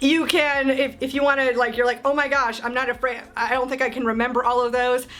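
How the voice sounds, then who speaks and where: A woman's high, monotone, flat voice at a fairly quick pace with hardly any pauses, amid noticeable background noise. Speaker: motorsports marketing coach. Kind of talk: casual tutorial to camera. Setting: home office, talking to camera. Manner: conversational, stumbles on words.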